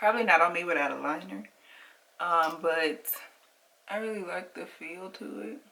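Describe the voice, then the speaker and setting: A woman with a fairly low pitch and a bright, sharp tone talks at a moderate pace, her voice showing vocal fry, very wide pitch swings, big swings in loudness, and long, frequent pauses. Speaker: makeup reviewer and sales consultant. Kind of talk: product review vlog.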